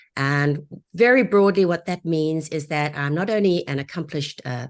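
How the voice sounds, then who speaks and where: A woman with a South African accent speaks at a moderate pace with a very deep, low voice. Her pitch varies in an ordinary way over a quiet background. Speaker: divorce real estate agent. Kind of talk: webinar interview. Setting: live online broadcast.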